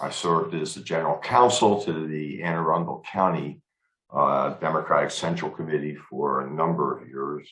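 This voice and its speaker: A man with an American accent speaks at a moderate pace, his loudness swinging widely. His pitch is very deep and low, with ordinary variation. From Baltimore, US Mid-Atlantic. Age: 70s. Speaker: attorney, club officer candidate. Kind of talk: candidate self-introduction. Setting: video call.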